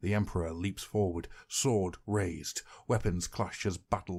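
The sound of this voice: It is an unforced reading voice. The intonation stays fairly even.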